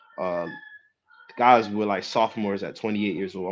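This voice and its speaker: Over music in the background, a man with a New Jersey accent talks at a moderate pace. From New Jersey, Jersey City. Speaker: professional basketball player. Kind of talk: casual interview.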